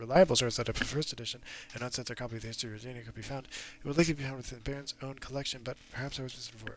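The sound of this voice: The reading voice here is unforced. Its intonation remains fairly even.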